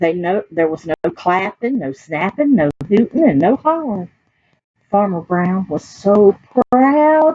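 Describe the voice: At a fairly slow pace, a woman talks with lively intonation at a medium pitch, the sound dry and close with no echo.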